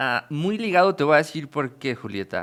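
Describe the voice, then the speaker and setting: A man is speaking. His tone is bright and sharp. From Mexico. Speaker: podcast host. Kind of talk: interview.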